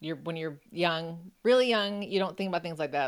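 Here is a woman with an American accent and an ordinary speaking voice. Her pitch is fairly low, with ordinary variation. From Buffalo, New York, US. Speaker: author and journalist. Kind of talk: interview conversation.

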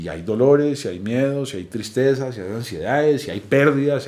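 In a normal speaking voice, the speaker moves at a fairly quick pace with lively intonation. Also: man. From Colombia, Bogotá. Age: 40s. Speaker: recovered addict, founder of a recovery project. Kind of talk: personal testimony. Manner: casual, slangy.

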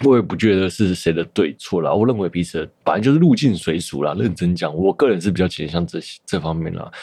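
This man's voice is very deep and low, with a dark, mellow tone and lively intonation. He talks at a fairly quick pace with hardly any pauses. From Taiwan, Taipei (Shida area). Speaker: podcast host. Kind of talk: casual solo monologue. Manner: casual, many fillers and hesitations.

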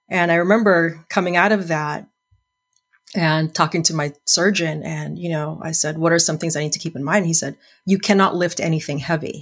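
Fairly even intonation marks this woman's normal speaking voice. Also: fairly low pitch for a woman, moderate pace. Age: 50s. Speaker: English teacher and photographer. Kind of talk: casual chat.

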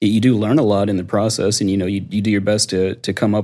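A man with an American accent, fairly low-pitched with a dark, mellow tone, very fast and monotone in flat intonation. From US South. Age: 40s. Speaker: audio engineer and content creator. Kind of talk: casual interview chat. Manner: laid back.

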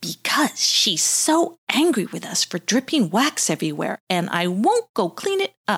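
A put-on, whiny character voice that sounds female, pitched fairly high with very wide swings. The pace is moderate. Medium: read story. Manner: bossy, whiny.

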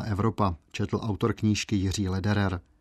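A normal speaking voice at a moderate pace over a quiet background. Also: man. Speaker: radio host. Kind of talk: scripted narration.

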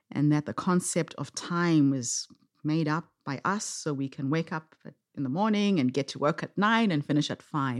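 A woman's very deep, low voice on a very clean recording with a silent background. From Zimbabwe. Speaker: social entrepreneur and speaker. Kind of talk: interview conversation.

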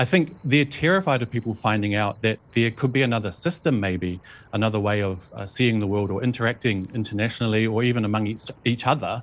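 On a very clean recording with a silent background, a man with a New Zealand accent talks at a very fast pace, his medium pitch showing ordinary variation. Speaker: journalist and video blogger. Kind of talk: interview.

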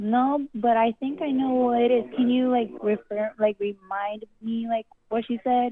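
This woman has a plain, everyday voice pitched fairly high. She talks at a fairly slow pace with hardly any pauses. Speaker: caller seeking advice. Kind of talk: voicemail message. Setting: phone voicemail with dog barking.

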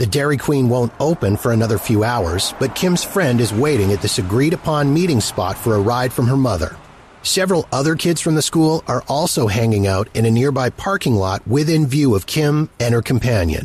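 Amid noticeable background noise, a man delivers a dramatic tone with lively intonation, moving at a fairly quick pace with hardly any pauses. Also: medium pitch for a man, very even loudness. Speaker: podcast host. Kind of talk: true-crime narration. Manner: measured, storytelling tone, dramatic and suspenseful.

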